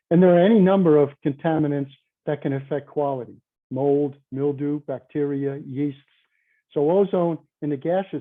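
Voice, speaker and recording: In a New York accent, a man speaks at a moderate pace with a fairly high pitch and fairly even intonation. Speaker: conference presenter, chemical engineer. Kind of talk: conference presentation. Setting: virtual conference.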